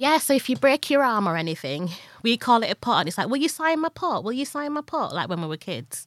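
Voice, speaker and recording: A woman's high, very fast speech with very wide pitch swings in a very clean recording with a silent background. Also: dry, close sound with no echo. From Leeds, northern England. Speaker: podcast co-host and actor. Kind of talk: casual chat.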